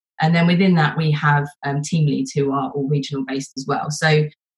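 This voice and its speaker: Speaking at a moderate pace, a woman has a very deep, low pitch. Her voice is somewhat breathy. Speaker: support leader panelist. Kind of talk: panel discussion.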